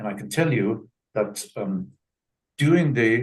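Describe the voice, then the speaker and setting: Somewhat breathy, a man speaks at a very slow pace with very wide pitch swings. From Germany. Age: 90s. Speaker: Holocaust survivor. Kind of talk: testimony. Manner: halting, repeats words.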